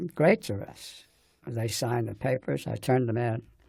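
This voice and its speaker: A man with an American accent speaks at a medium pitch in a dark, mellow, somewhat breathy tone. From New Jersey, US. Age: 90s. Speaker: war veteran. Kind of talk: oral history interview. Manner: halting.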